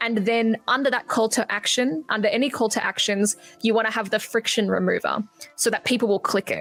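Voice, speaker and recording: With an Australian accent, a woman speaks fairly quickly at a fairly high pitch and very even loudness. The sound is dry and close with no echo, with music in the background. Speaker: marketing agency owner. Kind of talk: podcast interview. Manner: animated.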